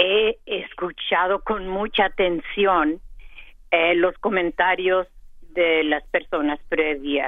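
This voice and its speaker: A woman's fairly low pitch with ordinary variation, at a very slow pace. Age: 80s+. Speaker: caller. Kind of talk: call-in comment. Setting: phone call.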